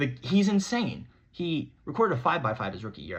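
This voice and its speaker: There is vocal fry in this man's speech, set against a quiet background. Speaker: sports podcast host. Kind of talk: solo sports commentary monologue. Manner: fast; animated.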